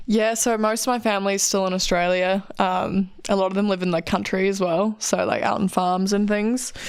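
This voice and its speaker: A woman with a New Zealand accent speaks in a medium pitch with fairly even intonation. Her loudness stays very even and there are hardly any pauses. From New Zealand, Queenstown. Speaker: alpine ski racer. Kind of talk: interview. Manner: casual, many fillers.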